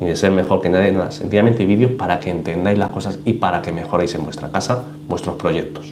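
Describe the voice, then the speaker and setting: Over noticeable background noise and audible room echo, a man with a very deep, low voice talks at a very fast pace with ordinary pitch variation. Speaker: aquarium YouTuber and researcher/teacher. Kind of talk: live stream Q&A. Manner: animated.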